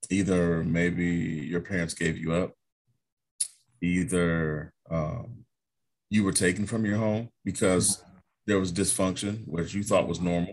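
Very deep and low in pitch, a man with an American accent speaks at a very slow pace with long, frequent pauses and fairly even intonation. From Ohio, US Midwest. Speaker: documentary filmmaker. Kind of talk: casual chat.

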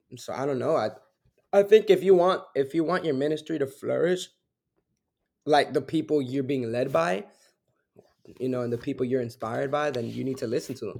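This man speaks at a fairly quick pace in a fairly high pitch, with ordinary pitch variation. His speech has long, frequent pauses. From Newark, New Jersey. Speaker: worship musician and minister. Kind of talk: casual interview.

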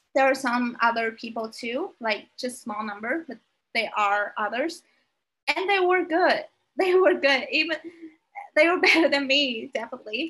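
A woman with a Vietnamese accent speaks at a moderate pace, her high-pitched voice bright and sharp in tone. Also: lively intonation. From Vietnam (Hanoi). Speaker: podcast guest. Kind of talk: casual interview chat. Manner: halting.

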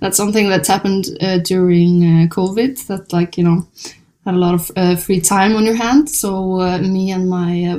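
A woman with an Icelandic accent, at a fairly slow pace, with a dark, mellow tone and fairly even intonation. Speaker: jazz pianist and singer-songwriter. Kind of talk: interview. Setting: hotel room.

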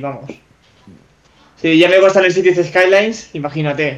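A man with a high pitch talks at a moderate pace with fairly even intonation. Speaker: 3D artist and gamer. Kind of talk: live-streamed casual chat. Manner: halting, repeats words.

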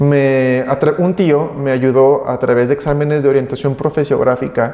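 In a normal speaking voice, a man talks at a fairly slow pace with fairly even intonation and a fairly high pitch. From Mexico, Aguascalientes. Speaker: biomedical engineer. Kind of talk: interview.

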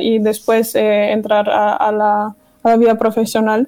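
A woman with a German accent speaks at a fairly slow pace. Her pitch is fairly high and her tone dark and mellow. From Germany, Dortmund. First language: German (speaking Spanish). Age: 20s. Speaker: communication student. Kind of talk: interview.

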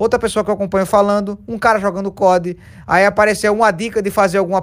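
A man speaks at a very fast pace with a high pitch. His intonation stays fairly even. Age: 20s. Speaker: streamer. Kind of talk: casual chat.

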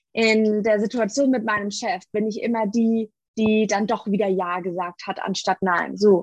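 A woman speaks in an ordinary speaking voice, the sound dry and close with no echo against a quiet background. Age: 30s. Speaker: coach and family therapist. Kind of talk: interview.

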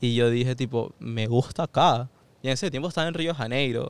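Here is an ordinary speaking voice from a man at a medium pitch. He talks at a fairly slow pace. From Venezuela, Caracas. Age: 20s. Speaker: university student. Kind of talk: casual interview chat.

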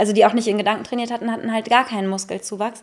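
A woman at a very fast pace. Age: 30s. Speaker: comedian and podcast co-host. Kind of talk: casual chat. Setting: podcast studio.

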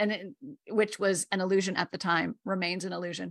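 Very fast and marked by vocal fry, a woman talks at a medium pitch with ordinary pitch variation. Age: 50s. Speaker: grief educator and coach. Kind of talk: interview.

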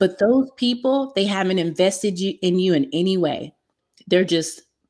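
In an American accent, a woman with a normal speaking voice talks at a medium pitch and a fairly slow pace, with ordinary pitch variation. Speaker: online marketing specialist. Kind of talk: interview.

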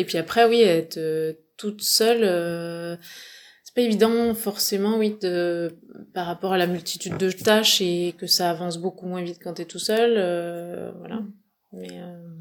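At a very slow pace, a woman with a fairly low pitch speaks with big swings in loudness. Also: fairly even intonation. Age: 40s. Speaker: farmer. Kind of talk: interview. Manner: halting.

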